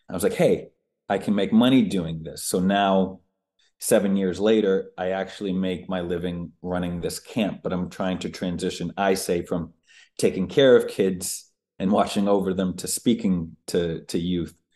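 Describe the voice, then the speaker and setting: The voice has a dark, mellow tone and an American accent. Intonation stays fairly even over a quiet background. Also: man, very deep, low pitch for a man, moderate pace. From US Northeast (Boston area and Maine). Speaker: public speaker and camp founder. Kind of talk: interview.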